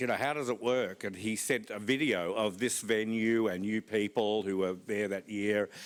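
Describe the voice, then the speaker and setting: A man with an Australian accent and fairly low pitch, on a very clean recording with a silent background. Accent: Australian, flat vowels. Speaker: conference speaker. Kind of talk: conference talk. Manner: slow.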